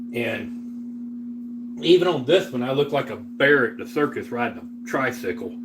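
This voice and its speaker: A man with a Southern US accent speaks fairly slowly at a fairly high pitch with very wide pitch swings, amid audible room echo and noticeable background noise. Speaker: livestreamer. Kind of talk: casual livestream chat while cooking. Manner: casual, relaxed with filler words.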